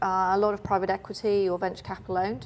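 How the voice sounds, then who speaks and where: A woman with a British accent. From United Kingdom. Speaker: finance consultant. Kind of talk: interview.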